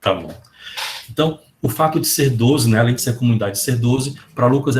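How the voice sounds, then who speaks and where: A somewhat breathy man talks at a medium pitch with ordinary pitch variation. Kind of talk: lecture. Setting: video call. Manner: animated.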